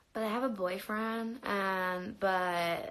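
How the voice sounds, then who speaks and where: A woman speaks at a medium pitch with a bright, sharp tone. Room echo is audible around her voice. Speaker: livestreamer. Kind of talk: casual livestream chat.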